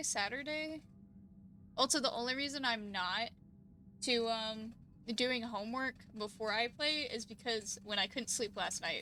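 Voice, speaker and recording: Quiet yet bright and sharp in tone, the voice moves at a fairly quick pace with lively intonation. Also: woman. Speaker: vtuber streamer. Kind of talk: casual live stream chat. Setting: live stream.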